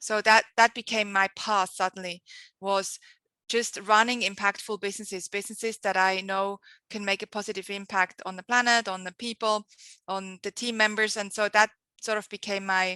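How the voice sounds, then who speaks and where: A woman with a strong Swiss accent, medium pitch, bright, sharp tone and monotone, flat intonation at a moderate pace, in a dry, close sound with no echo. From Switzerland. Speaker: marketing agency founder, entrepreneur. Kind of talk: podcast interview.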